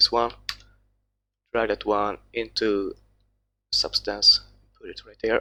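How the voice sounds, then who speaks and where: The sound is dry and close, with no echo. A man with a Swedish accent speaks at a very slow pace. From Sweden. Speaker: texture artist. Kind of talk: tutorial. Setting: live stream. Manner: halting.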